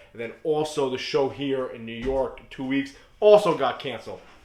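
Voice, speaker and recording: Noticeable background noise accompanies a man whose intonation is lively. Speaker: reptile breeder and YouTuber. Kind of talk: rant. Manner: fast; casual.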